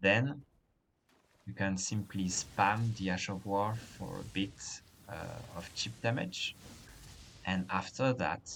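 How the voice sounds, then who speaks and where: A man with a French accent speaks very slowly at a fairly low pitch, with vocal fry and lively intonation. Long, frequent pauses break up his speech. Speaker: gaming guide creator. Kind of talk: game tutorial narration.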